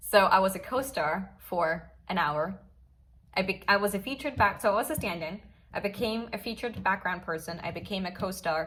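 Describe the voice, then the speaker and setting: Speaking with a Swiss accent, a woman sounds animated at a medium pitch, with ordinary pitch variation and a fairly quick pace. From Switzerland, Basel. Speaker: actress. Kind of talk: casual storytelling vlog.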